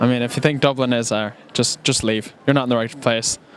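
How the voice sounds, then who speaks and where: A man with a Cork accent talks at a fairly quick pace and medium pitch. His intonation is monotone and flat, with noticeable background noise. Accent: Cork Irish. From Cork, Ireland. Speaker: passer-by. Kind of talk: vox pop street interview.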